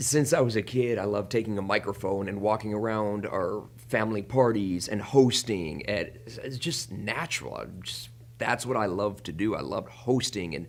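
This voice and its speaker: A man at a fairly low pitch, with ordinary pitch variation and a moderate pace. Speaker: wrestling ring announcer. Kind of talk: interview.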